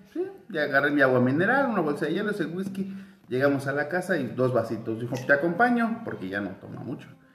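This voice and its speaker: Speaking very fast in a fairly high voice, a man swings his pitch very widely against noticeable background noise and audible room echo. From Mexico, Querétaro. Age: 30s. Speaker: podcast co-host. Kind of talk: casual chat.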